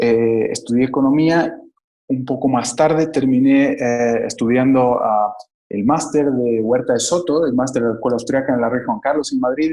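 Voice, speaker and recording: This man speaks at a moderate pace and medium pitch, with a dark, mellow tone, fairly even intonation and very even loudness. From Bolivia, Cochabamba. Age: 30s. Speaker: economist, investment advisor. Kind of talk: interview.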